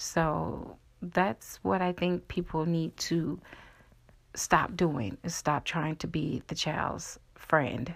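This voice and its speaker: A woman's very deep, low voice with vocal fry at a very slow pace, ordinary pitch variation, on a very clean recording with a silent background. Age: 40s. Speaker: podcast host. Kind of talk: solo monologue podcast. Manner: casual with fillers.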